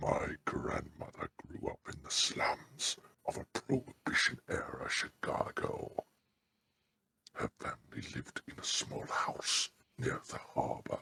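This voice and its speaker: A put-on character voice from a man, delivered fairly slowly. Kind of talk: horror narration. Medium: read story. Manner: slow, ominous.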